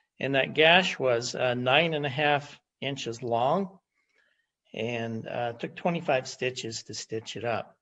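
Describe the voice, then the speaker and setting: A man with a plain, everyday voice speaks at a medium pitch and a fairly slow pace, with ordinary pitch variation. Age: 60s. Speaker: testimonial giver. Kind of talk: testimony. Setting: video call.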